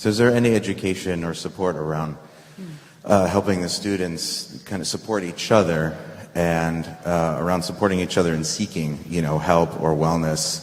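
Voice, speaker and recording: Against noticeable background noise, a man with a very deep, low pitch speaks at a moderate pace and fairly even intonation. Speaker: parent in audience. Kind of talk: audience question.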